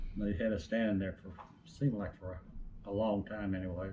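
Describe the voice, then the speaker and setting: A man speaks in an East Tennessee accent with a fairly low pitch. His tone is dark and mellow, and somewhat breathy. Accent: Southern US (East Tennessee). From East Tennessee, US. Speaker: retired utility lineman. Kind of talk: interview answer.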